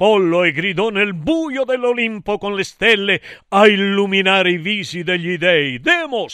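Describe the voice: What we hear is plain reading aloud.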